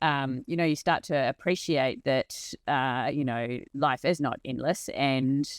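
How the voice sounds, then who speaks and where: In a New Zealand accent, a woman speaks with a very deep, low pitch and fairly even intonation, the sound dry and close with no echo. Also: very clean recording, silent background. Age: 40s. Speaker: organisational transformation leader and hiker. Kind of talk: casual interview conversation.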